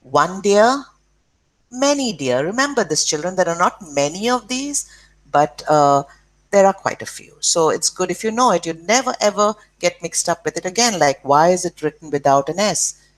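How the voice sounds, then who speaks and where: With an Indian accent, a woman speaks at a moderate pace and medium pitch with very wide pitch swings, in a dry, close sound with no echo. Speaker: school teacher. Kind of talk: lesson for children.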